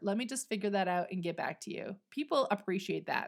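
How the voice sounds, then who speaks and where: A woman's animated voice with very wide pitch swings, in a very clean recording against a silent background. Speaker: podcast host and business coach. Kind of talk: solo podcast monologue. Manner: occasional stutter.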